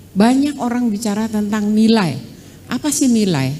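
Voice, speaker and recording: A shrill woman's voice at a fairly slow pace, with audible room echo. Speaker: law professor. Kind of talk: lecture. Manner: brisk.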